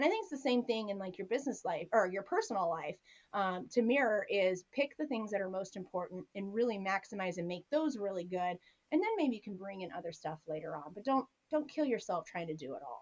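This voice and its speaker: A woman speaks at a medium pitch and a fairly quick pace. Her pitch swings very widely, and her loudness rises and falls sharply. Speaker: business coach and attorney. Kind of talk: interview. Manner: fast.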